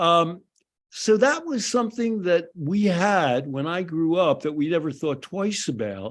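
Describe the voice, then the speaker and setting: High-pitched man's voice with an American accent, lively intonation and a fairly slow pace over a quiet background. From US Northeast, Philadelphia. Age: 70s. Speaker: addiction psychologist. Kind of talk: podcast commentary. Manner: conversational with frequent fillers.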